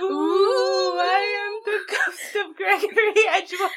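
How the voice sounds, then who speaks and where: This is a put-on character voice at a fairly slow pace. Light background noise sits behind it. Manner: spooky.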